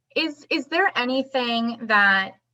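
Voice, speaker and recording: A woman speaks loudly in a bright, sharp tone. The recording is very clean, with a silent background. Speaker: interviewer. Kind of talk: interview.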